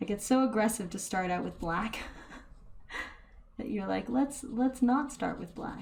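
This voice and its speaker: A soft-spoken woman at a fairly slow pace, her pitch fairly high. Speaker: painting tutorial youtuber. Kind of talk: painting tutorial.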